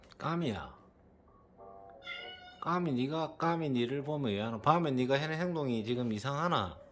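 A man speaks in a fairly high voice, pausing long and often. Music plays in the background. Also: ordinary pitch variation, moderate pace. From Busan, South Korea. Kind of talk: casual talk to a pet.

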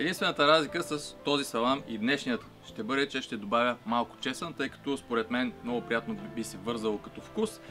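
Clear music plays in the background. A man speaks at a moderate pace with ordinary pitch variation. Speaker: home cook host. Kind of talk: cooking tutorial. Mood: friendly, relaxed. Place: garden.

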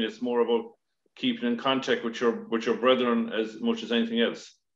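A man with an Irish accent and fairly even intonation, with audible room echo over a quiet background. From Ireland. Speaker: podcast host. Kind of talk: casual interview. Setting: video call. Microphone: video call.

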